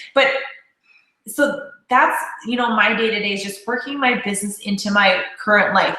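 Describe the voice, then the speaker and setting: A woman speaks in an animated tone at a fairly high pitch. Audible room echo surrounds her voice. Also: ordinary pitch variation, moderate pace. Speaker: network marketing leader. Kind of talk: casual chat. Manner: loud.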